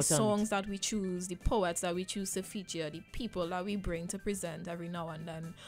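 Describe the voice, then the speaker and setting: A woman with a Trinidadian accent, fairly low in pitch and fairly even in intonation, with music in the background. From Trinidad and Tobago. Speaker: spoken word poet and arts educator. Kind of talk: radio interview answer.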